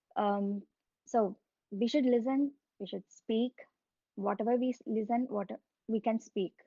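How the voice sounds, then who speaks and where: A woman's fairly high, dark and mellow voice with a Tamil Nadu accent, at a moderate pace with fairly even intonation, in a dry, close sound with no echo. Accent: Tamil Indian English. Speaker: alumnus speaker at student induction. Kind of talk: informal talk to students. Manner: hesitant, many fillers.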